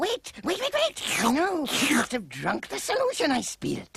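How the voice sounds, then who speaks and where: A cartoonish character voice with a high pitch. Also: moderate pace. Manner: excitable, cackling.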